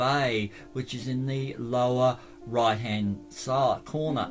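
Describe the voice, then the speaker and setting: Music plays in the background as a man speaks with an Australian accent. His pitch is medium and his pace fairly slow. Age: old. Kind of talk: casual travel vlog narration. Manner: hesitant, halting.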